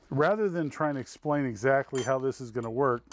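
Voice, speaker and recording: Fairly quick speech with a dry sound and no echo. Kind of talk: tutorial. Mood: relaxed, wry. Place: workshop.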